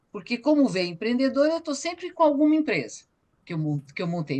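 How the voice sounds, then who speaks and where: A woman's fairly quick speech with very wide pitch swings. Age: 60s. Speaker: photographer and cultural activist. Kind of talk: online meeting testimony. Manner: halting.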